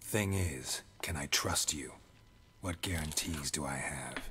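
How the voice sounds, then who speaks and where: Using a put-on character voice, a man talks at a fairly slow pace with a very deep, low pitch. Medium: video game. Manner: terse, dry.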